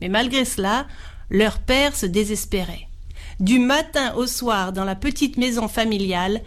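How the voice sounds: The voice heard here reads in a natural way.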